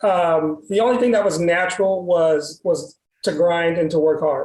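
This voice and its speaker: In an American accent, a man speaks with a high pitch. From Texas. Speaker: medical sales executive. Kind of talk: interview. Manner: frequent fillers and repetitions.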